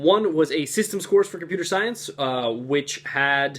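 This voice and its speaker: Lively in intonation, a man talks at a moderate pace. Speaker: college student vlogger. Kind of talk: vlog monologue. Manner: soft-spoken.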